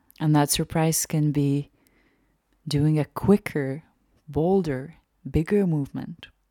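This woman has a very deep, low pitch and a dark, mellow, gentle, soothing tone, with fairly even intonation. She talks at a very slow pace with long, frequent pauses, in a very clean recording with a silent background. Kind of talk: guided meditation. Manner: slow, soft-spoken, unhurried with long pauses; gentle, soothing, inviting.

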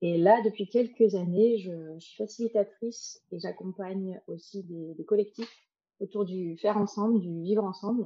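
Speaking in a normal speaking voice, a woman of medium pitch goes at a fairly slow pace with fairly even intonation and big swings in loudness. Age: 40s. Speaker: facilitator and psychologist. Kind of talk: facilitation.

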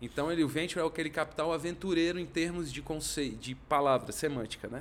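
A man talks fairly quickly at a fairly high pitch. He has a plain, everyday voice with ordinary pitch variation. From Brasília, Brazil. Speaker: economist and venture capital investor. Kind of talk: casual interview chat.

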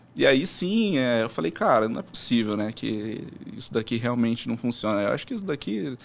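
In a very clean recording with a silent background, a man with a normal speaking voice talks at a medium pitch with lively intonation. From São Paulo interior, Americana. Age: 20s. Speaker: sports betting trader. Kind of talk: casual interview.

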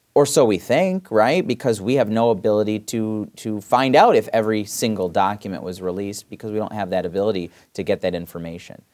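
A man with a Michigan accent, fairly low pitch, fairly quick pace and hardly any pauses, on a very clean recording with a silent background. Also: ordinary pitch variation. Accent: Michigan (Inland North) American. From Michigan, Southfield (Detroit area). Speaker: state senator. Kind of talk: casual interview.

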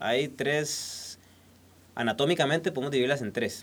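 The man's pitch is fairly high. He speaks at a fairly slow pace. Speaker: beekeeper and honey producer. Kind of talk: casual interview. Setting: recording studio.

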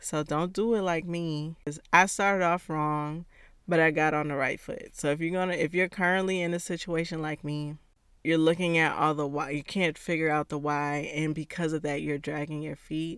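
At a moderate pace, a woman speaks in a very deep, low voice with monotone, flat intonation on a very clean recording with a silent background. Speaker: podcast host and encouragement coach. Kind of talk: solo podcast episode, encouraging talk.

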